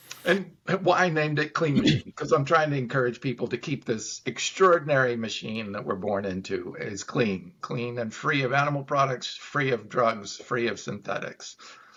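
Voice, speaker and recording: Lively in intonation, a man speaks at a medium pitch and moderate pace with hardly any pauses. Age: 60s. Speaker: plant-based supplement business owner. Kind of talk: interview. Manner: animated.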